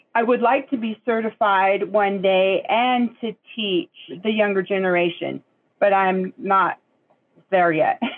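In an American accent, a woman with an unremarkable speaking voice talks fairly slowly at a medium pitch with ordinary pitch variation. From Puget Sound, Washington (Nisqually). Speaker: Native language student. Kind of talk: interview.

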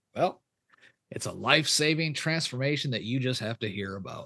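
The man's bright, sharp tone moves at a fairly quick pace through very wide pitch swings. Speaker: pastor and podcast host. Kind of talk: interview.

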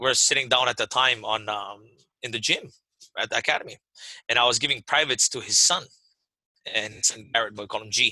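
Speaking at a fairly quick pace with long, frequent pauses, a man with a medium pitch has a bright, sharp tone, big swings in loudness, and a dry, close sound with no echo. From Hawaii, Waimanalo. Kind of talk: interview.

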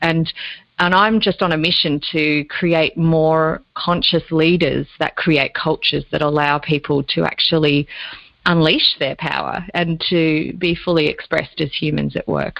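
A woman speaks in a very deep, low voice with an Australian accent. Her intonation is monotone and flat, and her pace is fairly slow. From Australia, Lake Macquarie area (New South Wales). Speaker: business coach and leadership consultant. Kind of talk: interview.

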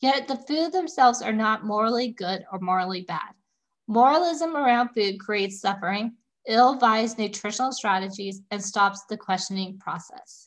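A woman speaks at a moderate pace. She has an ordinary speaking voice. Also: fairly high pitch for a woman, lively intonation. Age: 30s. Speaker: holistic nutritionist podcast host. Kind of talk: solo educational monologue.

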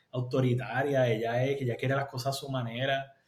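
The voice is somewhat breathy and moves at a moderate pace. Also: man. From Puerto Rico. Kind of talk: interview testimony.

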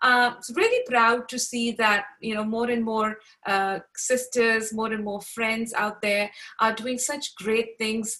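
In a bright, sharp tone, a woman speaks at a fairly slow pace. Her fairly high pitch holds to monotone, flat intonation. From Pakistan. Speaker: podcast host. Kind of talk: casual interview.

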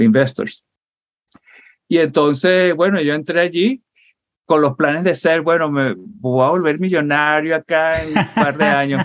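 The speech moves at a fairly slow pace with long, frequent pauses, very even loudness and ordinary pitch variation. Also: man, fairly high pitch for a man. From Venezuela (Puerto La Cruz, Barcelona). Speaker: software engineer and Marine veteran. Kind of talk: interview conversation.

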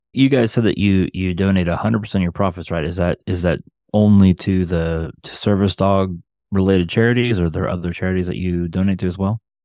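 Against a quiet background, a man with a very deep, low pitch and a dark, mellow tone talks at a very fast pace with fairly even intonation. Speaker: podcast co-host. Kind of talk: interview conversation.

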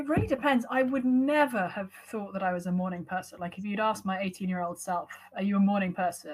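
A woman's somewhat breathy, medium-pitched voice with an American accent and lively intonation, fairly quick with hardly any pauses. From London, England. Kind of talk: interview conversation. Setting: video call.

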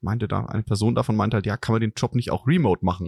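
A man with vocal fry in a dry, close sound with no echo. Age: middle-aged. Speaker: podcast host, business consultant. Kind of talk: casual chat.

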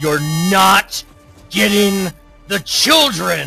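A man puts on a character voice at a fairly high pitch. Faint music plays in the background. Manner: scary.

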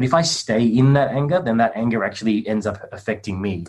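A man with an Australian accent and a medium pitch talks at a fairly quick pace, his pitch varying in an ordinary way. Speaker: men's coach and meditation teacher. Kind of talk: group video call discussion.

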